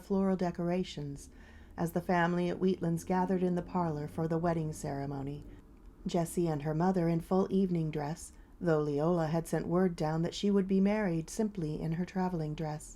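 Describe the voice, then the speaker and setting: Dark and mellow in tone, a woman's voice keeps a fairly even intonation. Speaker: audiobook narrator. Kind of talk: audiobook reading.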